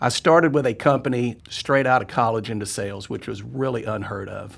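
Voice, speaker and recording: In a very clean recording with a silent background, a man talks at a moderate pace and medium pitch, showing ordinary pitch variation and vocal fry. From Arkansas. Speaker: freight carrier executive. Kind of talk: casual chat.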